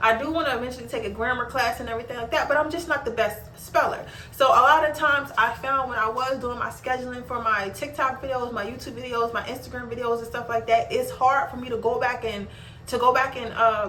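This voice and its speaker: Over noticeable background noise and audible room echo, a woman with a high pitch speaks at a very fast pace. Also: fairly even intonation. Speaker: small business owner and content creator. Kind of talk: casual vlog tutorial. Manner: casual, repetitive.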